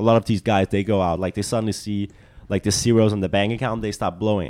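A man with a Danish accent talks at a fairly quick pace. His voice is fairly low-pitched, with a dark, mellow tone. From Denmark. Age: 20s. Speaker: soccer player and model. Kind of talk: casual chat.

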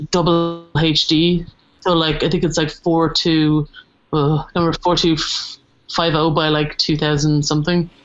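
Over music in the background, a woman with a southeastern Irish accent speaks at a fairly slow pace in a very deep, low pitch, her intonation monotone and flat and her loudness very even. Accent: Irish (south-east). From Ireland, Wexford and Waterford. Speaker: animation art director. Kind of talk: casual chat.

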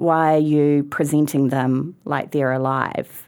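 A woman speaks with a New Zealand accent and a very deep, low pitch. The recording is very clean, with a silent background. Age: 40s. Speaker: museum chief executive. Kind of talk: casual chat.

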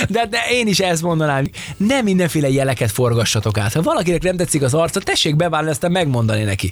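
A man with a fairly high pitch talks fairly quickly in an animated tone. His pitch swings very widely, and background noise is noticeable. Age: middle-aged. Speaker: podcast co-host. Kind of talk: casual chat.

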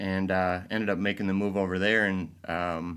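In an American accent, a man with a very deep, low pitch talks at a moderate pace with monotone, flat intonation on a very clean recording with a silent background. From Michigan, Grand Rapids. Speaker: advertising agency president. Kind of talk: interview.

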